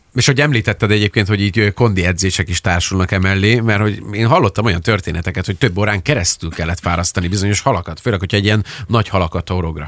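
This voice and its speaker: A man with a fairly low pitch and ordinary pitch variation talks at a very fast pace with hardly any pauses. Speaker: radio co-host. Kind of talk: casual radio interview. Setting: studio.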